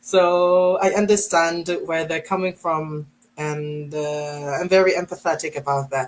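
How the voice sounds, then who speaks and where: Fairly slow and fairly even in intonation, a woman with an American accent speaks in a fairly low voice. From Philippines. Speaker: online English teacher. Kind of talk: interview.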